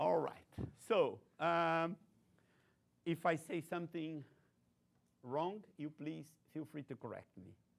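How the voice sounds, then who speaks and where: A man with a Brazilian accent speaks very slowly at a fairly high pitch, with ordinary pitch variation, big swings in loudness, and long, frequent pauses. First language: Portuguese. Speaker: technology research executive. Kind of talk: invited lecture.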